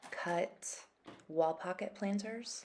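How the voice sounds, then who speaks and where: A soft-spoken woman talks fairly slowly with a dark, mellow tone and fairly even intonation. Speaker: ceramic artist. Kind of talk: narrated craft tutorial.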